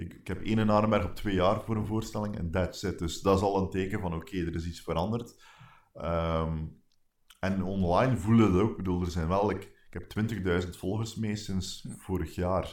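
A man's very deep, low voice moves at a moderate pace with fairly even intonation on a very clean recording with a silent background. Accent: Flemish. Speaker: stand-up comedian and podcaster. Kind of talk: casual chat. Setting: garden house, sitting close together.

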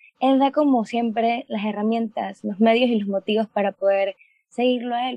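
A woman speaks at a fairly high pitch with a plain, everyday voice. Her pace is moderate and her pitch variation ordinary. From Panama. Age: 20s. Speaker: medical student. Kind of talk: testimony.

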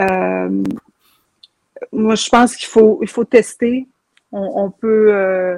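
A woman's voice, dry and close with no echo, at a very slow pace with long, frequent pauses. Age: 40s. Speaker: TikTok content creator. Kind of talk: casual interview chat.

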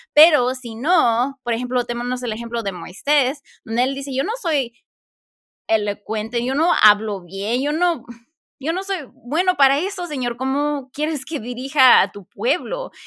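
A woman's high-pitched voice, raised and projected. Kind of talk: casual chat.

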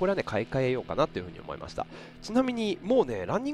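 Very wide pitch swings and a very fast pace from a man. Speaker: podcast host and event MC. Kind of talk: casual solo radio talk.

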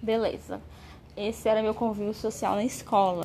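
Somewhat breathy, a woman at medium pitch talks at a moderate pace. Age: 20s. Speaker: vlogger. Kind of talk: personal testimony monologue.

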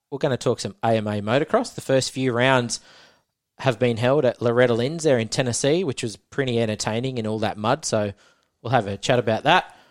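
In an Australian accent, a man speaks at a fairly quick pace in a medium pitch with ordinary pitch variation, recorded dry and close with no echo on a very clean recording with a silent background. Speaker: motocross podcast host. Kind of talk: casual chat.

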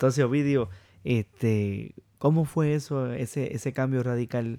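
A man speaks at a fairly slow pace in a plain, everyday voice, with ordinary pitch variation. The recording is very clean, with a silent background. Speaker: podcast host. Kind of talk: interview.

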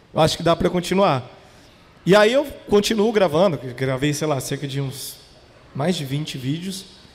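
A man's lively intonation against noticeable background noise. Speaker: podcast founder. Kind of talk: casual chat. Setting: stage with audience.

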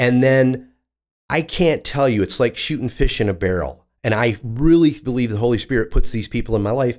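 An ordinary speaking voice from a man with an American accent, medium in pitch, moderate in pace, with ordinary pitch variation. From mid-Michigan (Corunna, between Lansing and Flint). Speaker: church volunteer and former salesman. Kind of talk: casual interview.

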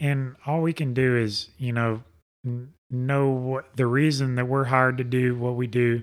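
A man with a Southern US accent talks at medium pitch. His intonation is monotone and flat, and his pace is fairly slow. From Alabama. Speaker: race car driver. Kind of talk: casual interview. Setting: studio.

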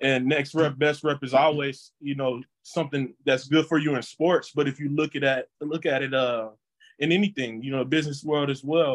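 Fairly high in pitch, a man with an American accent and a plain, everyday voice talks at a moderate pace with fairly even intonation. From Texas. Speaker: former college football player. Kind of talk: interview.

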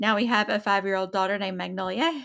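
Speaking very fast with an Appalachian accent, a woman keeps her pitch in the medium range. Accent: Appalachian Southern US. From Eastern Kentucky, Appalachia. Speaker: podcast co-host, military spouse. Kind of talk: casual chat.

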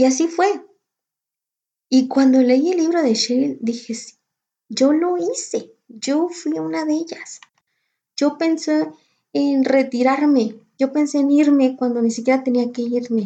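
A woman's voice sits high in pitch yet has a dark, mellow tone. Her intonation is lively, her pace fairly slow, with long, frequent pauses. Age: 30s. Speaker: podcast host, entrepreneur. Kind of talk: casual monologue.

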